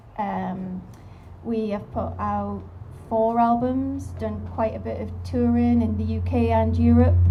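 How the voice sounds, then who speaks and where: At a very slow pace, a woman speaks with a very deep, low pitch amid audible room echo. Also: ordinary pitch variation. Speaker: musician, singer. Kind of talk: live panel discussion. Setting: outdoor terrace at live event with audience.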